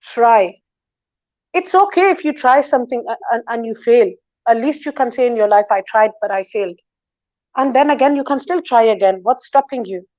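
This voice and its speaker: A loud, high-pitched woman's voice at a moderate pace, dry and close with no echo, over a quiet background. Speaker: talk show guest. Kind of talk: interview, advice-giving monologue. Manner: confident.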